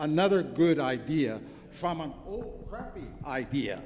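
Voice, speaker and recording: Spoken with a Hawaiian accent, the pitch swings very widely. Room echo can be heard. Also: man. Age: 70s. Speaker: artist and activist. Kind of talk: conference speech. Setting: conference with audience. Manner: animated.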